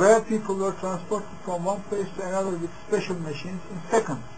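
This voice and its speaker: Over light background noise, a man with a high voice speaks with ordinary pitch variation. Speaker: religious commentator. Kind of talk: monologue on religion and UFOs. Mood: earnest, serious. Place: home room. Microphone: webcam.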